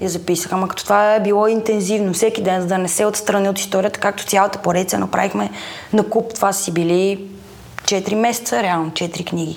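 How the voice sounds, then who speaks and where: Against noticeable background noise, a woman speaks at a fairly quick pace and medium pitch with fairly even intonation. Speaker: actress and audiobook narrator. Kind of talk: casual chat.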